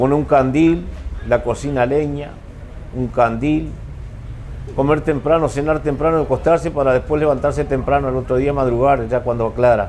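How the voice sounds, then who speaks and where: Noticeable background noise sits behind a man's voice. He speaks with fairly even intonation and long, frequent pauses. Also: moderate pace. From rural Uruguay, San José department. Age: 70s. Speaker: writer of rural stories. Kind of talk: talk at a book fair. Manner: halting.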